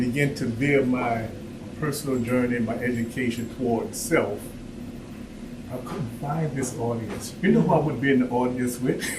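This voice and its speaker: A man speaks with ordinary pitch variation, heard through audible room echo and noticeable background noise. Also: medium pitch for a man, moderate pace. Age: 70s. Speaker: workshop speaker. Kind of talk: personal talk to audience.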